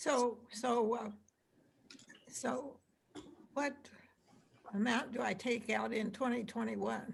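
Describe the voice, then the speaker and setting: A woman's fairly high pitch with vocal fry, at a very slow pace broken by long, frequent pauses. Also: fairly even intonation. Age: 80s+. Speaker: audience member asking a question. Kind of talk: asking questions in an online seminar.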